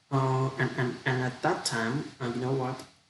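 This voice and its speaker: With a Vietnamese accent, the speaker is heard amid audible room echo and noticeable background noise. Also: man. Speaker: international student. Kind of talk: language practice monologue. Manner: halting; deliberately slow.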